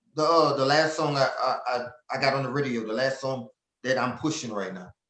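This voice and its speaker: A man with an American accent talks in an animated tone at a fairly quick pace and a medium pitch, with ordinary pitch variation and audible room echo. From Louisiana, Lafayette. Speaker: southern soul singer. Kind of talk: interview. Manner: animated, repetitive stammering.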